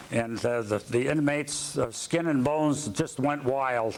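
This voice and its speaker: There is noticeable background noise behind a man's voice. He speaks at a fairly high pitch with ordinary pitch variation. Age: 70s. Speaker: war veteran. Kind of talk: testimony. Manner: halting.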